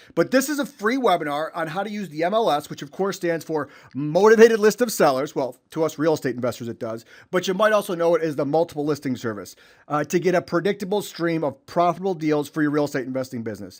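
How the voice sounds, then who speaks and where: In a Chicago accent, a man talks at a very fast pace with an energetic tone, lively intonation and a fairly high pitch. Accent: Chicago-area US. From Illinois (Chicago suburbs). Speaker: real estate investor and trainer. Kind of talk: webinar presentation. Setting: online webinar.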